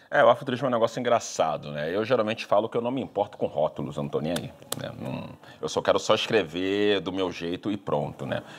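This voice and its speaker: Fairly low-pitched and very fast, a man talks with lively intonation. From Rio de Janeiro, Brazil. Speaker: writer. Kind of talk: public talk with Q&A. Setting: library event with audience. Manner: talkative, frequent fillers.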